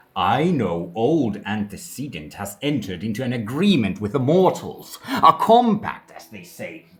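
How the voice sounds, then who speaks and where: A man puts on a character voice at medium pitch, with very wide pitch swings and big swings in loudness. He keeps a moderate pace with hardly any pauses, and hissing can be heard. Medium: read story.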